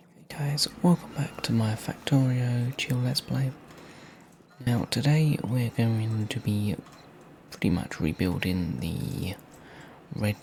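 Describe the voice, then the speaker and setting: Soft-spoken and calm, a man talks at a very slow pace with a medium pitch and lively intonation. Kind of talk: casual gaming commentary, relaxed ASMR-style let's play. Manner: soft-spoken, calm, relaxing.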